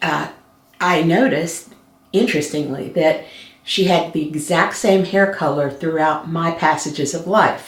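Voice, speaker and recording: A woman's fairly low voice at a fairly slow pace, ordinary pitch variation, audible room echo. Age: 60s. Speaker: color analyst, co-host. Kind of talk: casual chat. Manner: hesitant, many fillers.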